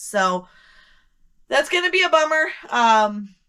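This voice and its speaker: A loud woman's voice at medium pitch, on a very clean recording with a silent background. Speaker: online reseller. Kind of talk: casual sales recap vlog. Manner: casual, frequent ums.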